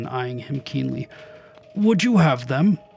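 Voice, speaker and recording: A man puts on a character voice with a fairly high pitch. He speaks at a fairly slow pace over faint background music. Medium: read story.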